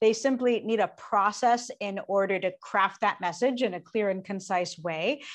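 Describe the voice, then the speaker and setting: An unremarkable speaking voice from a woman, medium pitch, ordinary pitch variation, moderate pace, hardly any pauses and a quiet background. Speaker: public speaking coach and singer-songwriter. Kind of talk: interview.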